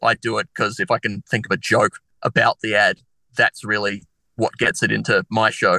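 Over a quiet background, a man with an Australian accent has a bright, sharp tone in a dry, close recording with no echo. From Australia, Adelaide. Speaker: comedian. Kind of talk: casual chat.

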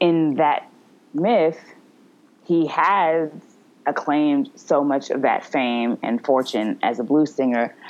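A woman with a low pitch and a slightly mellow tone speaks slowly, with ordinary pitch variation.

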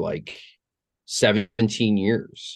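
Against a quiet background, a man with a plain, everyday voice speaks at a fairly low pitch with fairly even intonation. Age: 40s. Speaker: musician. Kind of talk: casual chat. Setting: studio.

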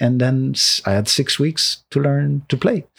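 In a very clean recording with a silent background, a man with a Quebec accent speaks at a moderate pace in a fairly high pitch, somewhat breathy, with lively intonation. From Quebec, Laurentians north of Montreal. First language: French. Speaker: composer. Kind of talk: casual conversation. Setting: in person at the host's home.

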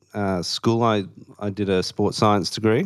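A man with an Australian accent speaks at a fairly low pitch. The recording is very clean and the background silent. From Western Australia, Perth. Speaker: Salvation Army officer trainee. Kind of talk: casual interview.

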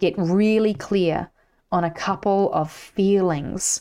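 Her voice at medium pitch, a woman speaks in an animated tone with lively intonation. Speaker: mindset coach and podcast host. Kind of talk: pep talk, motivational coaching monologue. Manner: emphatic, direct.

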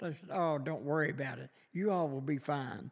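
This man has a strong Kentucky accent, a fairly high voice and ordinary pitch variation. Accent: strong Southern US, rural Kentucky. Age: 70s. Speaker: lumber business owner. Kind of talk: casual interview. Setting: on location at venue. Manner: slow, halting, storytelling.

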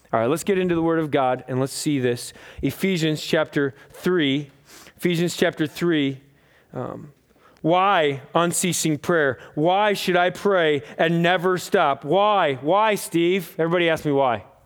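The speaker has an American accent and a passionate tone. The pace is fairly slow, with ordinary pitch variation. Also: man, fairly high pitch for a man. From US. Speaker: pastor. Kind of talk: sermon, preacher in full flow. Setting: church with congregation. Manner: conversational, humorous, passionate.

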